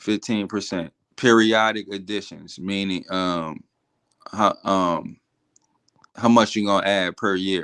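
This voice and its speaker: With an American accent, a man speaks at a very slow pace, leaving long, frequent pauses, his intonation fairly even. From New Orleans, US South. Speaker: forex trader, live stream host. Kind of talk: casual chat. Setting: live stream. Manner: casual, halting.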